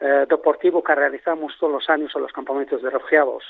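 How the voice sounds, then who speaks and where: Here a man talks at a fairly quick pace. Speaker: charity marathon organizer. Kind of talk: radio interview. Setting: phone call.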